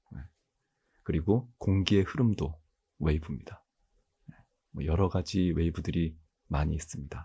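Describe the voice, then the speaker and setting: A man's soft-spoken, very deep, low voice with vocal fry, a calm tone and a dark, mellow quality. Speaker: university mathematics professor. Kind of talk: ASMR-style lecture, calm educational talk. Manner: soft-spoken, calm, sleep-inducing.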